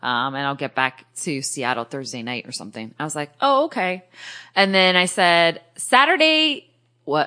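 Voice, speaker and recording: Against a quiet background, a bright, sharp voice moves at a moderate pace with lively intonation. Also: woman, very deep, low pitch for a woman. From New England, Portuguese-American. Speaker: podcast host. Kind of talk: casual chat. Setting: studio.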